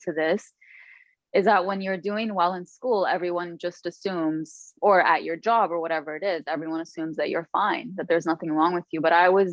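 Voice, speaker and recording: A woman speaks with an Arabic accent. Her pitch is fairly low. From Lebanon. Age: 30s. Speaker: author. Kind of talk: podcast interview.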